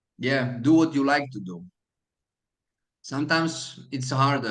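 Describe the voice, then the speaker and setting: A man with a Slovak accent, medium in pitch, at a moderate pace. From Slovakia. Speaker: hotel manager. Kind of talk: mentoring talk to students. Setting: video call. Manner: halting, many fillers.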